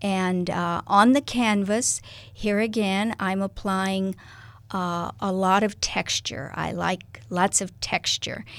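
On a very clean recording with a silent background, a woman with a Midwestern American accent speaks very slowly at a medium pitch with ordinary pitch variation. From US Midwest, Kansas-Nebraska border. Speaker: artist. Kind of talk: interview. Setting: radio studio.

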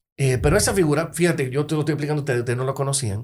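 This man's voice is somewhat breathy, with ordinary pitch variation. He speaks at a very fast pace. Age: 40s. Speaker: lawyer and poet. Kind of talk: casual chat.

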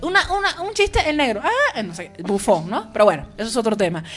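A woman's high voice with very wide pitch swings at a fairly quick pace, over noticeable background noise. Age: 30s. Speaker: cultural show host. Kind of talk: casual chat.

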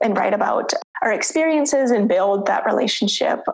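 The woman talks at a fairly quick pace. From US Midwest, Minnesota. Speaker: PhD student and researcher. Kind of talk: interview conversation.

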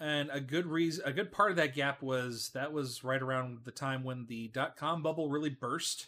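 Speaking at a moderate pace with hardly any pauses, a man with an American accent has a bright, sharp tone, a fairly high pitch and ordinary pitch variation, recorded very cleanly with a silent background. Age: 30s. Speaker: podcast host. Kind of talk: casual chat. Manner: halting.

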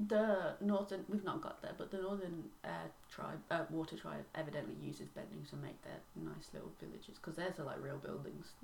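There is noticeable background noise. A woman speaks at a fairly quick pace. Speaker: podcast host. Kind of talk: casual chat.

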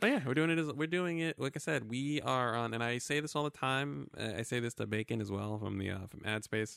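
Using a normal speaking voice, a man at medium pitch talks at a fairly quick pace with lively intonation and hardly any pauses, on a very clean recording with a silent background. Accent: American. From Brooklyn, New York. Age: 30s. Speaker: podcast co-host. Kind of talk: casual chat.

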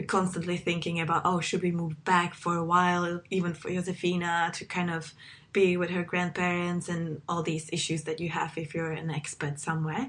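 In a Czech accent, a woman talks at a fairly low pitch with monotone, flat intonation and hardly any pauses over a quiet background. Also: moderate pace. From Czech Republic. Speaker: podcast host. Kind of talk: casual chat. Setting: video call.

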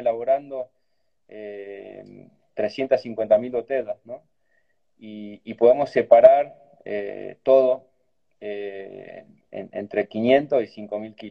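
Long, frequent pauses and big swings in loudness mark a man's speech, which has ordinary pitch variation. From Argentina, Cafayate (Salta). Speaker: winemaker. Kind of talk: casual interview over video call.

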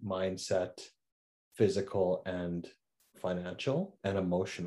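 A man with a Canadian accent, a very deep, low pitch, a dark, mellow tone, and a fairly slow pace. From Saskatchewan, Canada. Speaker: entrepreneur. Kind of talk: casual chat.

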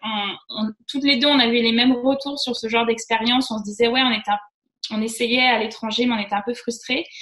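Fairly high in pitch with fairly even intonation, this woman has an unremarkable speaking voice. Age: 30s. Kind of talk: casual chat.

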